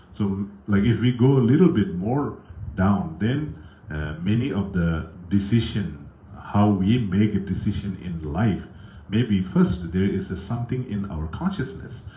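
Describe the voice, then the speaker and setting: Amid audible room echo, a man with a strong Tibetan accent speaks in a fairly low, somewhat breathy voice with a dark, mellow tone. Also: ordinary pitch variation, fairly slow pace. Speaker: Buddhist teacher. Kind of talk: dharma talk with viewer comments. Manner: halting, many fillers.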